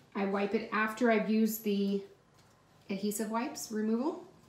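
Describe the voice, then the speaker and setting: A woman is talking. Her voice carries audible echo from the room. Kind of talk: casual tutorial vlog. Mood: calm, reassuring. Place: bathroom. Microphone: phone near.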